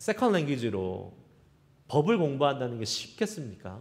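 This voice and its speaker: With audible room echo, a man speaks at a moderate pace, his fairly high voice making very wide pitch swings. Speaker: pastor. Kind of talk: sermon.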